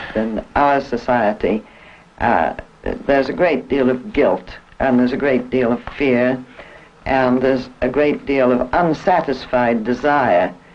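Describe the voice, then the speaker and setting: A man's medium-pitched voice at a fairly slow pace, with ordinary pitch variation and very even loudness, over noticeable background noise. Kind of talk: panel discussion on sex and morality.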